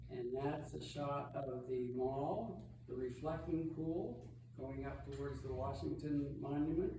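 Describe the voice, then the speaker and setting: Through audible room echo and noticeable background noise, a man talks at a fairly slow pace. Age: old. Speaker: travel presenter at church lunch. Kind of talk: illustrated slideshow talk. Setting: church hall with audience. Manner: loud, projecting.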